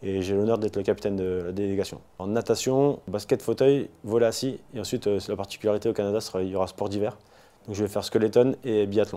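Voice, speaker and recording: Very fast in pace, a man talks in a dark, mellow tone. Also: fairly even intonation. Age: 40s. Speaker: war veteran. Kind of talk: testimony. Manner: halting.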